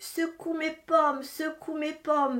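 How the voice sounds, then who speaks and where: A put-on character voice, monotone and flat, at a fairly slow pace. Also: woman. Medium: read story.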